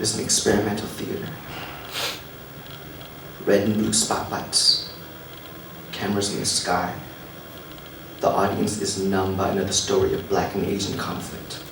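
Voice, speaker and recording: With noticeable background noise, a man speaks at a moderate pace, leaving long, frequent pauses. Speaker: spoken word poet. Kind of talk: live spoken word poetry performance. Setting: live audience.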